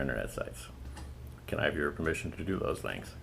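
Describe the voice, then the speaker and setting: With vocal fry and ordinary pitch variation, a man's voice carries audible room echo. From New England. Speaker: oral historian interviewer. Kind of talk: oral history interview. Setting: interviewee's home. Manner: formal.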